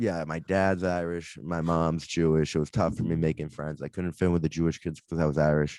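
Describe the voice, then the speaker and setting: With a Boston accent, a man talks at a fairly quick pace in a very deep, low voice, keeping a fairly even intonation and hardly any pauses. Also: very clean recording, silent background. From Boston area, Massachusetts. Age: 20s. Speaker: podcast host and stand-up comedian. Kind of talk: casual chat. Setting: studio, on video.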